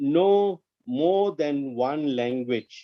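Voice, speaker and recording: A man speaks with an Indian accent. His pace is very slow. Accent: Indian English (Tamil). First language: Tamil. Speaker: corporate trainer. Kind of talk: interactive training webinar. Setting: online webinar.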